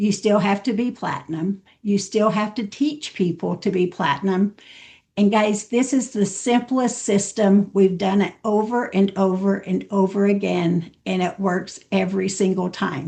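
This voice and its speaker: At a fairly slow pace, a woman speaks in a dark, mellow, somewhat breathy tone with medium pitch and ordinary pitch variation. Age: 70s. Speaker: network marketing trainer. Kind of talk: training talk. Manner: animated.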